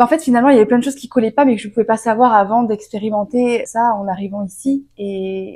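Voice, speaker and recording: The speaker is a woman with a fairly high pitch. She moves at a fairly quick pace. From France. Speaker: vlogger. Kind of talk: casual storytime vlog. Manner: animated, hesitant with fillers.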